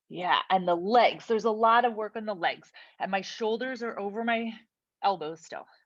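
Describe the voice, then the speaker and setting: A woman puts on a strained character voice at a fairly high pitch, with fairly even intonation. She speaks at a moderate pace against a quiet background. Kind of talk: fitness instructor. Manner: strained, talking while holding a low plank.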